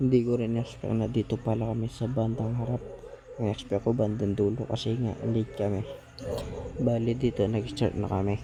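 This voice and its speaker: A soft-spoken man at a medium pitch, monotone and flat, at a moderate pace. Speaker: vlogger, father of baby. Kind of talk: casual vlog narration. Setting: church.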